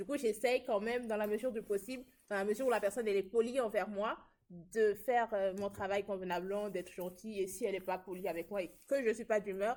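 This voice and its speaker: At a fairly quick pace, a woman talks with a medium pitch. Hers is a plain, everyday voice with fairly even intonation. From southern France. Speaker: student podcast host. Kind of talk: casual chat.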